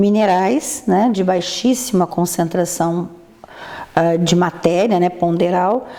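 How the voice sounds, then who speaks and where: Against noticeable background noise, a woman with a Brazilian accent speaks at a very slow pace and very even loudness. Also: medium pitch for a woman, ordinary pitch variation. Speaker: physician. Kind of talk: interview. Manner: halting.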